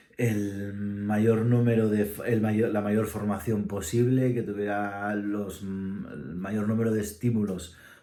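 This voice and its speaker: The voice has a dark, mellow tone. Audible room echo surrounds it. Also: man. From Spain, Asturias. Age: 40s. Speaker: musician and ensemble director. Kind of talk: casual interview answers, self-read questions. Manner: halting, many fillers.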